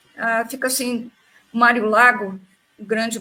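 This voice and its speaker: This woman's voice is fairly high in pitch, with a bright, sharp tone. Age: 80s+. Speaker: panel guest in spiritist discussion. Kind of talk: casual discussion in a live stream.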